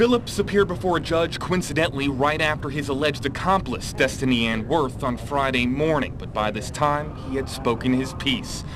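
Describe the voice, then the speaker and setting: A man talks at a fairly quick pace, his pitch fairly high with ordinary variation. Noticeable background noise is present. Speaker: local TV news reporter. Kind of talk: TV news report, anchor-style delivery.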